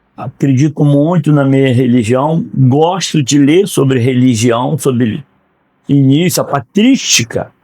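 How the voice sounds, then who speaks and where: At a fairly slow pace, a man speaks in a fairly high pitch with a dark, mellow tone, ordinary pitch variation and very even loudness. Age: 60s. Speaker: retired law graduate. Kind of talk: podcast interview.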